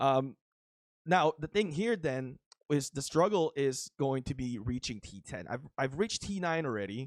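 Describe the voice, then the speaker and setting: A man's fairly high pitch and lively intonation at a moderate pace, with a Filipino accent, in a dry, close sound with no echo and a very clean recording with a silent background. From Philippines. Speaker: mobile game YouTuber. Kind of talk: gameplay commentary. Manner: casual, with many fillers.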